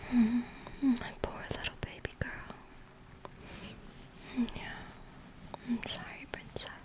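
A woman whispers at a very slow pace. She leaves long, frequent pauses. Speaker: ASMR roleplay performer. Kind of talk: ASMR girlfriend roleplay. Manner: whispered, soft-spoken. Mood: tender, soothing. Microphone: studio mic.

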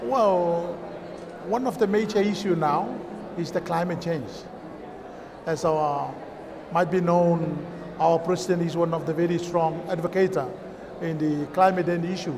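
Talking at a fairly slow pace with long, frequent pauses, a man with a high pitch keeps a fairly even intonation against noticeable background noise. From Kiribati. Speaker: chamber of commerce representative; guest. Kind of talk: interview. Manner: halting. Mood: friendly, relaxed. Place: stage.

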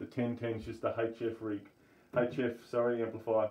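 Here a man talks in an Australian accent. His pitch is medium and his pace moderate. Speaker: amateur radio hobbyist video maker. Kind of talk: tutorial. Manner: casual, with hesitations. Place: home room. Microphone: phone near.

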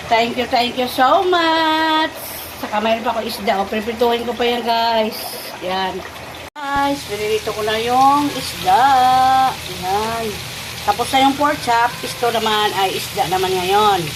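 With a fairly high pitch and lively intonation, a woman speaks at a fairly slow pace amid noticeable background noise and audible room echo. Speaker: family vlogger cooking at home. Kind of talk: casual cooking vlog.

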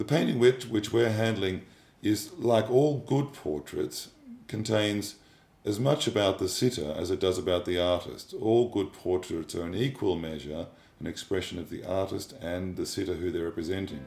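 A fairly low-pitched man speaks at a moderate pace with lively intonation, and audible room echo can be heard. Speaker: art auctioneer / fine art specialist. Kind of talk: corporate narration / expert commentary about an artwork. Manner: measured, thoughtful, with hesitations and fillers. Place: home room.

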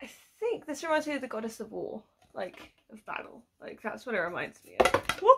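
Over noticeable background noise, a woman with a British accent speaks at a moderate pace in a high voice, with very wide pitch swings and big swings in loudness. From UK. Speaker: YouTuber doing unboxing videos; unboxing vlogger. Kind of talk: casual unboxing vlog. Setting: at home at her desk. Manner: animated. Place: home room. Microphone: phone near.

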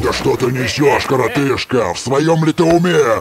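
Clear background noise sits behind a man doing a cartoonish character voice. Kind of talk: animated fantasy cartoon acting. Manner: scoffing, swaggering, storytelling relish; wistful at the end.

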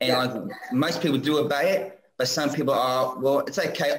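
A man talks with an Australian accent. His pace is moderate. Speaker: viewer calling in; guest. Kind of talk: casual chat. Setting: video call. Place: home room.

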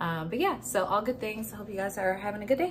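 The delivery is fast, with lively intonation. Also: woman, medium pitch for a woman.

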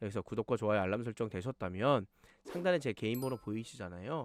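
An animated man at a very fast pace, in a dry, close sound with no echo. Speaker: stock market YouTuber, former fund manager. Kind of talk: stock analysis commentary.

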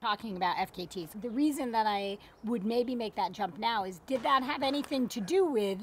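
A woman with a plain, everyday voice speaks at a moderate pace, her pitch fairly high and her intonation lively. The sound is dry with no echo, and there is light background noise. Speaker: professional endurance athlete; interview host. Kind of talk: podcast interview host; interview question. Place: garden.

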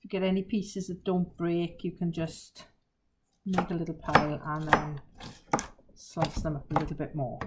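A woman at a moderate pace against loud background noise. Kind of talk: tutorial. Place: kitchen. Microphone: camera far.

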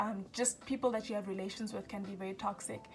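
Over clear background music, a woman speaks with fairly even intonation. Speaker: self-help vlogger. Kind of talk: casual vlog chat. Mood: earnest, encouraging. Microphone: phone near.

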